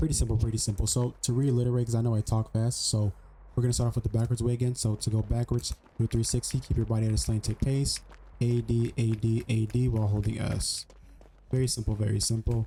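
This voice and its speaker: A man speaks very fast at a very even loudness, his dark, mellow voice somewhat breathy and his intonation monotone and flat. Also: medium pitch for a man. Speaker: gaming youtuber. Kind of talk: tutorial. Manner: casual.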